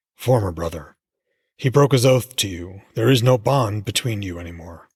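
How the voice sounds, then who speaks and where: A rumbling put-on character voice from a man, fairly low in pitch, at a moderate pace. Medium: read story. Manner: sly, goading.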